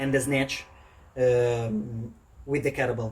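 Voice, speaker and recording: In an Italian accent, a man speaks at a moderate pace with fairly even intonation over light background noise. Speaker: fitness coach. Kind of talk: tutorial. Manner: halting, many fillers. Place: garden.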